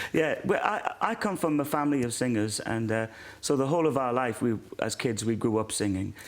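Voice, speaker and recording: A man with a Welsh accent at a fairly quick pace. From South Wales, born in Ireland. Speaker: former singer, now pastor. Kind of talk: interview testimony.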